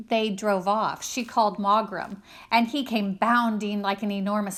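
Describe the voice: The intonation is fairly even. Someone reads aloud plainly.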